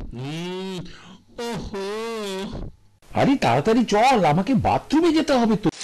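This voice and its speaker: A man puts on a character voice pitched high, with very wide pitch swings, big swings in loudness and a fairly slow pace. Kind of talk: reflective first-person voice-over. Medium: short film.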